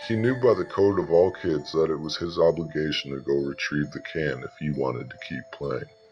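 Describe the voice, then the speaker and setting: Over music in the background, the speaker moves at a fairly quick pace with hardly any pauses and lively intonation. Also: man, very deep, low pitch for a man. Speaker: narrator reading the creepypasta story. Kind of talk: horror story narration, scripted reading aloud.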